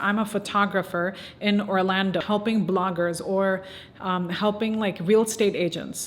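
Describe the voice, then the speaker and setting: This woman has a plain, everyday voice and fairly even intonation. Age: 20s. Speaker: small business owner. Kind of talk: casual talk to camera. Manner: casual, conversational.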